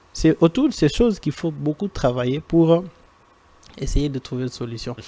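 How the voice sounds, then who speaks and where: A man with a non-native accent talks at a fairly high pitch, his tone dark and mellow. His intonation is lively, and the sound is dry and close with no echo. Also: moderate pace. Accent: non-native French, strained. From eastern DR Congo (Goma). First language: Swahili (speaking French). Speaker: NGO director, rural development technician. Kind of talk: TV studio interview.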